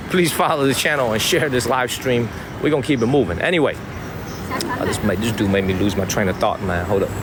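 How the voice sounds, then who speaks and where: With a Chicago South Side accent, a man talks at a fairly quick pace and medium pitch with lively intonation and very even loudness, against noticeable background noise and audible room echo. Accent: Chicago South Side street. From Chicago, South Side (immigrant from China as a child). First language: Chinese. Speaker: live streamer. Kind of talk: casual live stream vlog. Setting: outdoors walking street. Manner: casual slangy.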